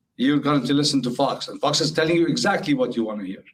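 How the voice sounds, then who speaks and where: A man at a very fast pace with fairly high pitch. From Lebanon. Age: 60s. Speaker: interview guest. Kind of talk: interview.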